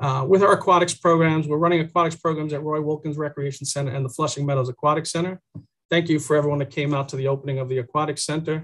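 Against a quiet background, a man speaks at a very fast pace with fairly even intonation. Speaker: presenter. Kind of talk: presentation briefing. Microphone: video call.

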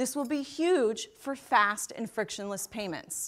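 Against a quiet background, a woman speaks at a fairly slow pace with lively intonation. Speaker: keynote speaker. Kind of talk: keynote speech. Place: stage. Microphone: lapel.

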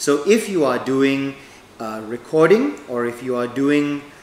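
In a space with audible room echo and light background noise, a man talks at a fairly slow pace with ordinary pitch variation. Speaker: equipment trainer. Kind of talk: tutorial. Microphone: lapel.

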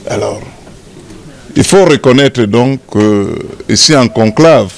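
A man at medium pitch, slow in pace, with lively intonation

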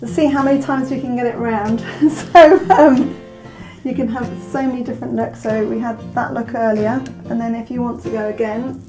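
With clear music playing behind her, a woman talks at a fairly quick pace with ordinary pitch variation. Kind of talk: product demonstration to camera. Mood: friendly, light. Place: studio.

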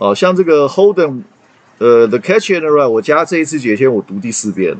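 This man's pitch rises and falls across a very wide range. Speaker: English reading teacher. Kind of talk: casual lecture to students. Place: home room. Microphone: webcam.

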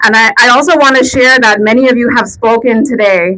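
A woman talks with ordinary pitch variation while noticeable background noise plays. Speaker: rally speaker, domestic violence advocate. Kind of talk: rally speech. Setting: outdoor protest rally with crowd. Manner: emotional, earnest, impassioned; fluent, direct appeal to crowd.

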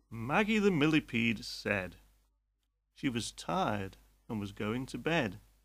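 A man with a British accent speaks at a fairly slow pace on a very clean recording with a silent background. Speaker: English teacher. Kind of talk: limerick reading for language learners.

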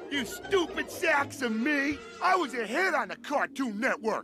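With clear music in the background, a man puts on a character voice at an extremely high pitch and a moderate pace. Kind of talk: character dialogue. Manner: bombastic, indignant.

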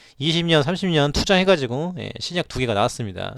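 In a very clean recording with a silent background and a dry, close sound with no echo, a man speaks at a moderate pace with lively intonation. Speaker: stock market commentator. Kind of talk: market news commentary. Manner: filler-heavy, frequent 'ye' interjections; animated, laughing.

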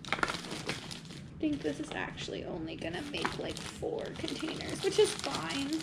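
Loud background noise behind a woman speaking at a fairly slow pace. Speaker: home cook vlogger. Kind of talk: casual vlog chat. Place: kitchen. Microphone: camera far.

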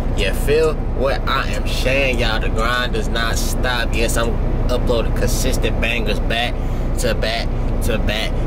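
Fairly slow speech from a man, loud noise behind him. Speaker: rookie truck driver vlogger. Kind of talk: casual vlog chat. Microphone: phone near.

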